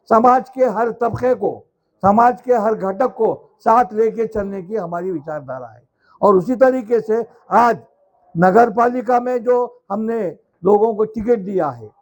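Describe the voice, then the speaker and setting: Speaking with a high pitch, this is a man. His pitch variation is ordinary. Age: 70s. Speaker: local politician. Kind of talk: political rally speech. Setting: outdoor corner meeting. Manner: conversational, repetitive fillers.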